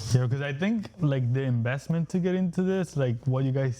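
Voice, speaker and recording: A man with a strong Spanish accent, a medium pitch and a dark, mellow tone at a moderate pace. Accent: heavy Spanish. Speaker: real estate wholesaler. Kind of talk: casual chat.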